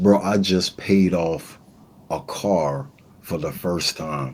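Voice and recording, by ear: Low-pitched and slightly mellow in tone, a man talks with ordinary pitch variation.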